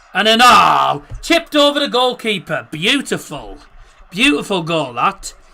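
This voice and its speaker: A man uses a raised, projected voice at a high pitch for a man with very wide pitch swings. He speaks at a fairly slow pace against noticeable background noise. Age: 20s. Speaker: football streamer, match watchalong host. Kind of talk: live watchalong commentary and chat reading. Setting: live stream. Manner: casual, animated.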